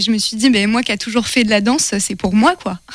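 A woman speaks at a fairly quick pace in an unremarkable speaking voice, with ordinary pitch variation. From France, Le Mans. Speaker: communication and events apprentice. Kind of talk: casual interview. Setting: radio studio.

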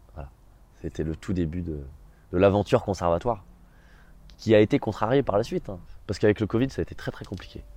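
A man's dark, mellow voice at a very fast pace, lively in intonation, with big swings in loudness and long, frequent pauses. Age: 20s. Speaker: drama student. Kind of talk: testimony. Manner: hesitant with fillers.

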